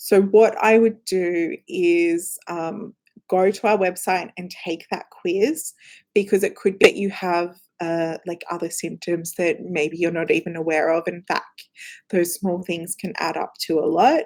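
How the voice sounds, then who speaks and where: A woman with an Australian accent speaks in a fairly low pitch. Her pace is fairly slow and her intonation fairly even. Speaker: company representative answering viewer questions. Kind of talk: live Q&A stream. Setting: live stream in front of cameras. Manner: casual, lots of filler words.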